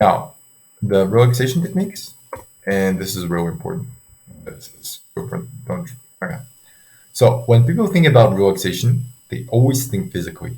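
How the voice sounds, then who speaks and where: A man with a non-native accent speaks at a medium pitch, with a dark, mellow tone that is somewhat breathy. His pace is moderate, with very wide pitch swings and long, frequent pauses. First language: not English. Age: 20s. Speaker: sleep coach for students. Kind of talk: tutorial. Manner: halting, many fillers. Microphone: poor audio quality.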